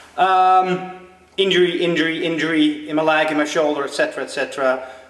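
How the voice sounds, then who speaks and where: A man's voice with audible room echo. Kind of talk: casual vlog chat. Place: gym. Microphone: phone near.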